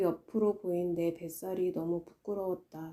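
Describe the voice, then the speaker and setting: A woman's dark, mellow tone at a medium pitch and a fairly slow pace. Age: 40s. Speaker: artist and vlogger running an online art studio. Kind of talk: reflective personal essay narration.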